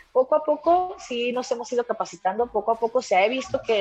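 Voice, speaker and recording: Fairly high-pitched woman at a fairly quick pace, with noticeable background noise. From Mexico. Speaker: mixed martial arts fighter. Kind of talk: interview.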